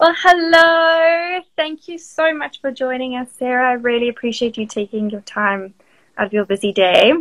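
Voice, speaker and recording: Speaking at a moderate pace in a South African accent, a high-pitched woman uses lively intonation and big swings in loudness, with a dry, close sound with no echo. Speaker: marketing manager hosting a live stream. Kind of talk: casual live-stream interview. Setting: Instagram live video call. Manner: animated.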